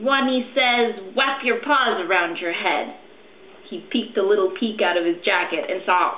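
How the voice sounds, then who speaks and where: A woman talks softly in a squeaky, put-on character voice with a fairly high pitch, at a moderate pace over clear background noise. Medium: read story.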